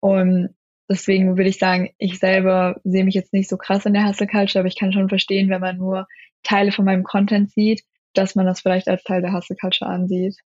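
A woman speaks at a moderate pace and medium pitch, somewhat breathy. Her intonation is monotone and flat, her loudness very even. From Germany. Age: 20s. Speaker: law student and video creator. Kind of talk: interview. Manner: hesitant, many filler sounds.

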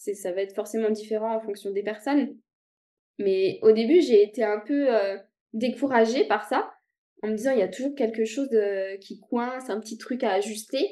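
A woman's fairly high voice with a dark, mellow tone, ordinary pitch variation and a moderate pace. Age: 30s. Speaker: guest sharing illness story. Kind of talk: interview testimony. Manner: halting, many hesitations.

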